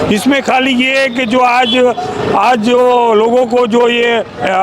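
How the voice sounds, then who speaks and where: An extremely high-pitched man speaks with fairly even intonation. Noticeable background noise is present. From India, Udaipur, Rajasthan. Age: 70s. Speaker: pensioners' association office-bearer, local resident. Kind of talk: street interview.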